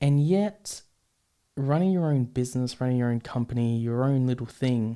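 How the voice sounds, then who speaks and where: A man with an Australian accent, dark and mellow in tone, at very even loudness, in a very clean recording with a silent background. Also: medium pitch for a man, ordinary pitch variation, moderate pace. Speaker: podcast host. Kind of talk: podcast monologue. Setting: studio with microphone and camera. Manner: halting, many fillers.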